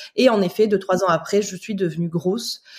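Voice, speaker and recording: Somewhat breathy tones come from a woman. She speaks fairly quickly. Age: 30s. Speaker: Instagram content creator sharing weight loss journey. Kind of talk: casual chat.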